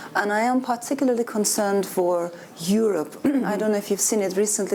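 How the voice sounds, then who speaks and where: Noticeable background noise sits behind a woman at medium pitch. She talks at a moderate pace with ordinary pitch variation. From Turkey. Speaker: author. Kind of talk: panel discussion.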